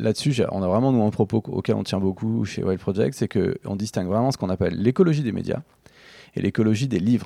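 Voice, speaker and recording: A man's fairly low, dark, mellow voice at a fairly quick pace, with ordinary pitch variation against a quiet background. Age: 40s. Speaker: book publisher. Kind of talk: interview conversation. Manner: hesitant with fillers.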